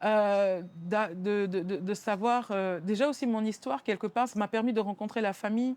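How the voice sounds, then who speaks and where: In a very clean recording with a silent background, a woman speaks at a medium pitch and moderate pace with ordinary pitch variation. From Benin. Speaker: musician and rapper. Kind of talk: interview. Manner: hesitant, many repetitions and fillers.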